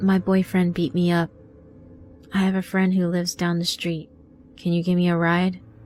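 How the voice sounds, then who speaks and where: A woman uses a put-on, robotic character voice at a fairly low pitch, with monotone, flat intonation. She keeps a moderate pace broken by long, frequent pauses. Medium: read story. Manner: robotic, practiced, disconnected.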